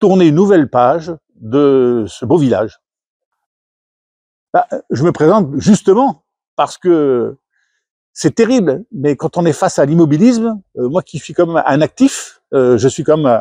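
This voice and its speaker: Lively intonation and a dark, mellow tone come at a fairly slow pace with long, frequent pauses, in a dry, close sound with no echo against a quiet background. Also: man, fairly high pitch for a man. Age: 70s. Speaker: retired executive, local election candidate. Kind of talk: campaign self-introduction. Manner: hesitant, many fillers.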